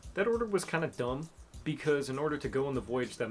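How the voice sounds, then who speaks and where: A man speaks with music playing in the background. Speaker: history YouTuber. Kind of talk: scripted narration. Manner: casual, humorous.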